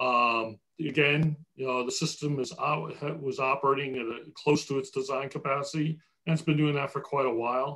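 Fairly high in pitch, a man with an American accent speaks in a bright, sharp tone at a moderate pace. His intonation is fairly even, and the background is quiet. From New Jersey. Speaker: water utility executive; panelist. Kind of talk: webinar presentation and Q&A. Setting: video call. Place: home room. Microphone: video call.

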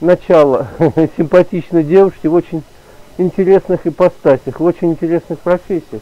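Speaking at a moderate pace, a man uses a high pitch with ordinary pitch variation. The sound is dry, with no echo. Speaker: home vlogger. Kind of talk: casual vlog chat. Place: home room.

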